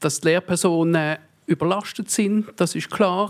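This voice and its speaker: Fairly slow delivery with ordinary pitch variation, on a very clean recording with a silent background. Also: man. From Basel, Switzerland. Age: 30s. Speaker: politician. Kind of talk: panel debate. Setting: stage with audience.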